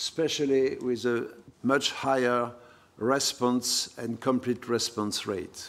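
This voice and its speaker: A man with a French accent and a medium pitch, in a flat monotone at a very slow pace. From France. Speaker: professor of hematology. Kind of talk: lecture. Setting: conference hall with audience.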